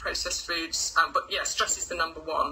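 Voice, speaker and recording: A woman with an English accent over noticeable background noise. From England, Lincoln. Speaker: results coach. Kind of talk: casual interview. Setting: live video stream.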